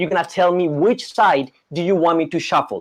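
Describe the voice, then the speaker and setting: An animated man with a Colombian accent, at a fairly quick pace. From Colombia, Bogota. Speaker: magician. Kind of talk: live magic performance with volunteer. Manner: fast.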